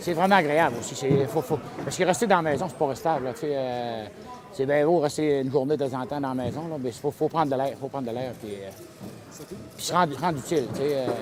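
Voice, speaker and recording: Through noticeable background noise, a man talks at a fairly quick pace in a fairly high voice with ordinary pitch variation. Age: 60s. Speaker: retired truck driver, volunteer. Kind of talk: interview testimony.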